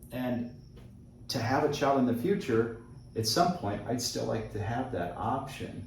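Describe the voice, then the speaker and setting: With noticeable background noise and audible room echo, a man speaks fairly slowly at medium pitch. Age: 50s. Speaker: travel vlogger. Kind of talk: casual chat.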